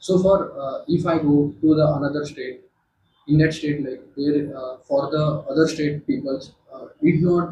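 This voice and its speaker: A man's somewhat breathy, fairly high-pitched voice with a dark, mellow tone, fairly even intonation, a fairly slow pace and big swings in loudness. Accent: Marathi. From Maharashtra, India. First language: Marathi. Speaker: group discussion participant. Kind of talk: group discussion. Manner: halting, many fillers.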